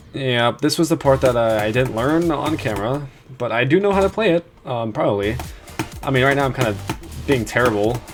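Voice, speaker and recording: Over music in the background, a quiet voice speaks at a fairly quick pace. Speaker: gaming video creator. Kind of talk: casual gameplay commentary. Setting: home at computer, late night.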